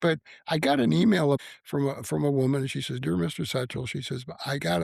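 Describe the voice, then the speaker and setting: A man at medium pitch with an American accent talks at a fairly quick pace, somewhat breathy and with lively intonation, on a very clean recording with a silent background. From US Midwest, north central Illinois. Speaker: author and Marine veteran. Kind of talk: podcast interview. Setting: home basement studio. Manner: halting, repeats words.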